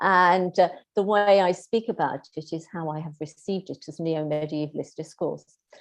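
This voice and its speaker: A woman in a British accent, with fairly low pitch, fairly even intonation, big swings in loudness and a moderate pace. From Britain. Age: 60s. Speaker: keynote speaker, medieval scholar. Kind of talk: Q&A after a lecture. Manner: hesitant, many fillers.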